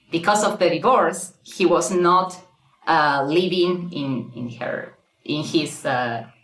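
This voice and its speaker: With a Spanish accent, a woman speaks at a very slow pace in a fairly low pitch with lively intonation, and audible room echo surrounds her. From Argentina. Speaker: guest telling her dating story. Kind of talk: casual interview, personal story. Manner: halting, many fillers and repeats.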